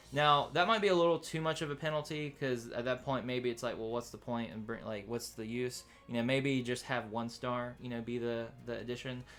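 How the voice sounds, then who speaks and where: Over background music, a man of medium pitch with ordinary variation speaks fairly quickly and barely pauses. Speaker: gaming YouTuber, game designer. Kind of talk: commentary on gaming news. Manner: casual, halting with fillers.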